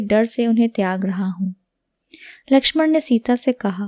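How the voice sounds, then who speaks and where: Soft-spoken and dark, mellow in tone, a woman uses ordinary pitch variation in a dry, close sound with no echo. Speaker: language teacher. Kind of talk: reading aloud.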